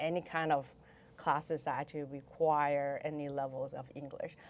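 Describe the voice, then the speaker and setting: A woman with a Chinese accent speaks with a very deep, low pitch and monotone, flat intonation. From Taiwan. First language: Mandarin Chinese. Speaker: venture investor. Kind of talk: podcast interview.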